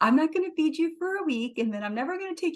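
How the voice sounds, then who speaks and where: In a squeaky, put-on character voice, a woman talks at a very fast pace with an extremely high pitch. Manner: cute, sweet.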